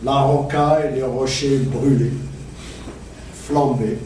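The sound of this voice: A man speaks at a medium pitch with a slightly mellow tone. There is audible room echo.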